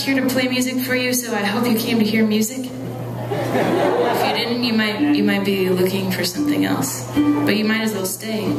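Music plays behind a female voice speaking at a moderate pace. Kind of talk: stage banter with audience. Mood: playful, self-deprecating humor. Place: stage.

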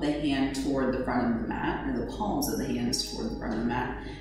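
Against noticeable background noise and strong room echo, a woman speaks at a moderate pace. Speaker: yoga instructor. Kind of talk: guided yoga instruction. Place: home room.

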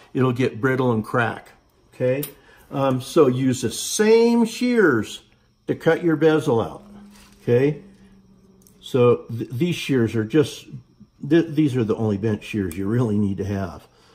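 Somewhat breathy and medium in pitch, a man talks at a fairly slow pace with lively intonation and long, frequent pauses. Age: 60s. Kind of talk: tutorial. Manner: halting, many fillers. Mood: calm, relaxed instruction. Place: workshop. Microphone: phone near.

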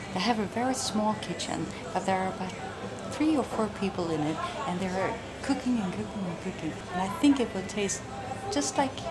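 A woman speaks at a moderate pace. Loud background noise is present. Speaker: travel vlogger. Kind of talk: casual vlog chat.

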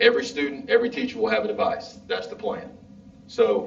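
Someone with a Southern US accent talks at a fairly quick pace through noticeable background noise and audible room echo. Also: man. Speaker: school district official. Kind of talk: public meeting presentation. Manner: loud.

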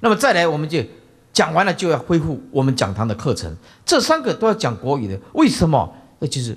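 Moving quite quickly, a man speaks with vocal fry and very wide pitch swings. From Taiwan. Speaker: Buddhist monk teacher. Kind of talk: dharma lecture. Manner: many filler interjections. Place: hall. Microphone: podium.

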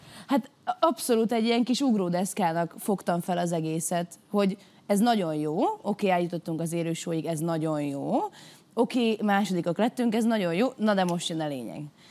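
This woman's intonation is lively. Her tone is dark and mellow. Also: medium pitch for a woman, moderate pace. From Hungary. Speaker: singer, talent show contestant; talk show guest. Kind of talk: studio talk show discussion; interview answer. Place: studio. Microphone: lapel.

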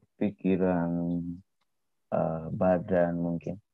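Over faint background music, a man speaks at a very slow pace in a dry sound with no echo. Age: 20s. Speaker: artist; guest. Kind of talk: interview. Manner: hesitant, many fillers. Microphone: video call.

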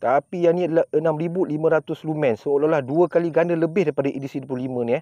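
At a fairly slow pace, a man talks in a dry sound with no echo and a quiet background. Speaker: product reviewer. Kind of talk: casual product review chat. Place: open country.

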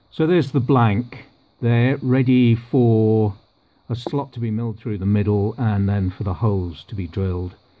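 Fairly slow pace with fairly even intonation. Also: man, fairly low pitch for a man.

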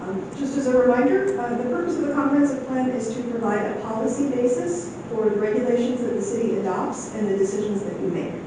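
A woman's fairly high voice at a very fast pace with hardly any pauses and ordinary pitch variation, plus noticeable background noise and audible room echo. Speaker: county planning staff presenter. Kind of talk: public presentation at council meeting. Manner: soft-spoken; halting, many fillers.

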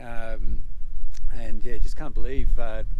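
A man speaks at a fairly slow pace, with noticeable background noise and a dry sound with no echo. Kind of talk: casual vlog chat. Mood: awed, reflective, hesitant. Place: open country.

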